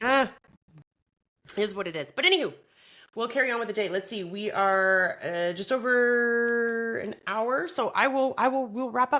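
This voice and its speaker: A woman speaks in a Canadian accent with a bright, sharp, animated tone and a fairly high pitch. Her pitch varies in an ordinary way, and the recording is very clean with a silent background. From Canada. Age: 40s. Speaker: podcast host. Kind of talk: casual chat.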